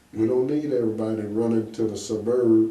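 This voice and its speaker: Over noticeable background noise and audible room echo, a man with an American accent talks at a moderate pace in a medium pitch. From Kansas City, Kansas. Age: 70s. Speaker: retired businessman and community leader. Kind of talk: interview.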